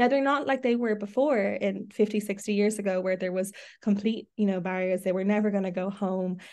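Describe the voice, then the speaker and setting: At a fairly quick pace and medium pitch, a woman with an Irish accent speaks with fairly even intonation against a quiet background. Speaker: podcast host. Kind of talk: casual chat. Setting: video call.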